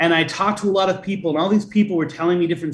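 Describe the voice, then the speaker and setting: With an American accent, a man talks at a very fast pace. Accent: Boston, slight, shed for interviews. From Boston. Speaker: folklorist and author. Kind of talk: interview.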